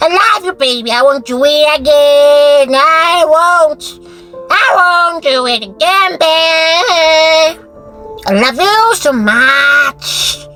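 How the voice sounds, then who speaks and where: A put-on character voice, squeaky and high-pitched, drawls at a very slow pace. Clear music plays in the background. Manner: pleading, apologetic.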